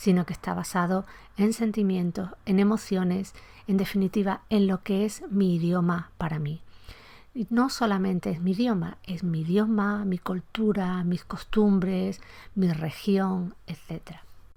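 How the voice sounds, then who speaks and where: In a very clean recording with a silent background, a woman speaks fairly slowly at a medium pitch. Her voice is somewhat breathy, dark and mellow, with fairly even intonation. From Andalusia, Spain. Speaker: podcast host, Spanish language historian. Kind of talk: educational podcast lecture.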